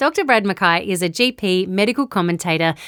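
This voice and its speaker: With very wide pitch swings and a moderate pace, a woman speaks in an Australian accent on a very clean recording with a silent background. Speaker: podcast host. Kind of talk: scripted narration; interview.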